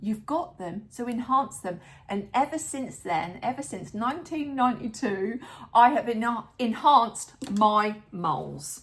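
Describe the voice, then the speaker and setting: A woman's unremarkable speaking voice, fairly high in pitch, at a fairly slow pace with lively intonation and big swings in loudness. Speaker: midlife lifestyle vlogger. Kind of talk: casual talk to camera. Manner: upbeat.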